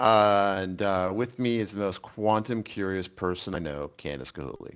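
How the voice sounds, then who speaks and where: In a New York accent, a man speaks with a fairly low pitch. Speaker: podcast host. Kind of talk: casual chat.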